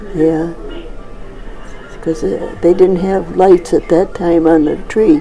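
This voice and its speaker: Faint music plays behind a woman who talks at a very slow pace with fairly even intonation. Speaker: care home resident. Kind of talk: interview answer. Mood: warm, nostalgic. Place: home room. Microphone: phone near.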